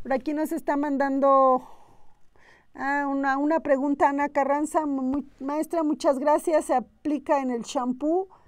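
Her voice is high, with a monotone, flat intonation. The woman speaks at a fairly slow pace against a quiet background. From Oaxaca, Mexico. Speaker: aromatherapy teacher. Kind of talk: live-streamed workshop talk. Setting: live stream from institute. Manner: hesitant, many fillers. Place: studio. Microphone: lapel.

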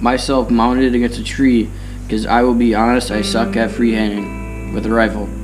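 Music plays clearly behind the voice. The speaker is a man. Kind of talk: casual storytelling. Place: farm machine. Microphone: camera far.

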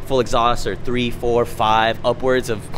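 A man speaks over light background noise. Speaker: car vlogger. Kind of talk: casual vlog chat. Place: street. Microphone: phone near.

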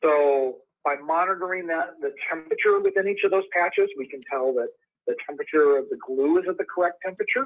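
Talking at a fairly quick pace, a man speaks with an Upper Midwest accent. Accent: Upper Midwest American. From Wisconsin. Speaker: industrial sales engineer. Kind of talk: webinar presentation. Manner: hesitant with fillers. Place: home room. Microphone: webcam.

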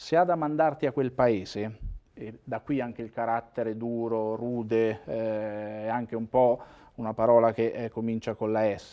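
A man at a fairly slow pace with fairly even intonation, against a quiet background. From Umbria, Italy. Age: 50s. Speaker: former mayor and regional politician; former mayor, regional politician. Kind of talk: interview. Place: studio. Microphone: lapel.

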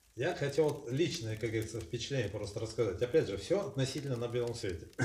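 A man talks at a very fast pace with ordinary pitch variation. Light background noise and audible room echo are present. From Russia. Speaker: expat homeowner. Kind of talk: casual interview; interview conversation. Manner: articulate. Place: home room. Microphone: camera far.

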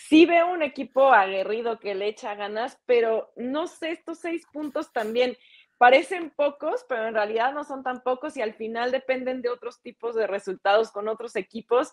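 A woman speaks at a high pitch and a moderate pace with ordinary pitch variation and hardly any pauses, the sound dry and close with no echo. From Mexico. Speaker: TV sports presenter. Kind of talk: casual sports talk show.

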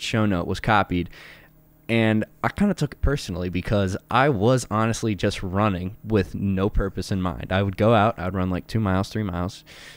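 A man with a fairly low pitch talks at a moderate pace, the sound dry with no echo. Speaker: podcast co-host. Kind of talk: casual podcast discussion. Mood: relaxed, laughing at times. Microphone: studio mic.

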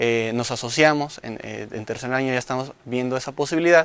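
At a fairly quick pace, a man with a medium-pitched voice speaks in a dry sound with no echo. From Michoacán, Mexico (Coalcomán); Michoacán, Mexico. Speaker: engineering student. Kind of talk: promotional testimonial. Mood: proud, earnest. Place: studio. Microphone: lapel.

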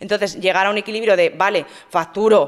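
A woman's plain, everyday voice at a medium pitch and moderate pace, over a quiet background. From Spain, Madrid. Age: 30s. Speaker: fitness influencer and bodybuilding competitor; fitness influencer. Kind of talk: interview. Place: studio. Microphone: studio mic.

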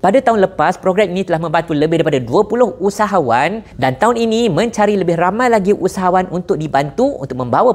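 A man's high-pitched voice at a very fast pace, with lively intonation and hardly any pauses. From Malaysia. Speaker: entrepreneur and business influencer; business influencer. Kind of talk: sponsored promotional video. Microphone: lapel.

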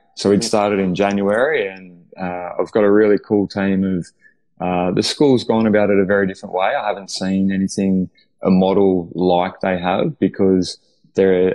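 Over a quiet background, a man with an Australian accent speaks at a moderate pace and fairly low pitch, his tone dark and mellow and his intonation fairly even. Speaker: head of performance development at a school, author. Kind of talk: casual interview. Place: home room. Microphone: video call.

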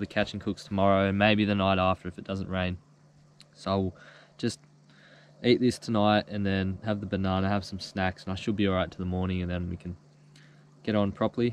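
With a normal speaking voice, a man talks at a fairly quick pace and a fairly low pitch, the sound dry with no echo. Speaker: fishing vlogger. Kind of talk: casual vlog chat. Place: boat.

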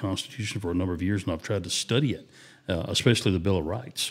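A man with a Southern US accent and a very deep, low voice. He talks at a very fast pace with ordinary pitch variation. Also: very clean recording, silent background. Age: 50s. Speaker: podcast co-host. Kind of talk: casual chat.

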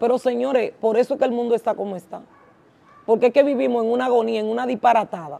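This very fast speaker has a dark, mellow tone, big swings in loudness and ordinary pitch variation. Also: woman, high pitch for a woman. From Dominican Republic, La Romana (east); Dominican Republic. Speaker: vodou priestess; religious culture host. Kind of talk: live stream chat. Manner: animated. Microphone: lapel.

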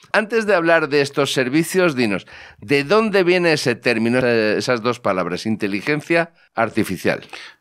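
Against a quiet background, a man speaks at a moderate pace. His pitch swings very wide. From Spain. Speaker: technology podcast host. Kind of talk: casual chat. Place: studio. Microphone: studio mic.

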